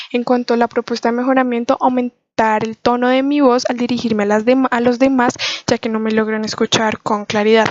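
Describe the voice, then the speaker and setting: A soft-spoken woman talks at a fairly quick pace in a high pitch with monotone, flat intonation. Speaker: student. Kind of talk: class presentation. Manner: fast.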